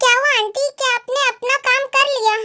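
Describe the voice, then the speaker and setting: A woman does a squeaky put-on character voice at an extremely high pitch. Her intonation is flat and monotone. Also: moderate pace. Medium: fan dub. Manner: sweet, coaxing.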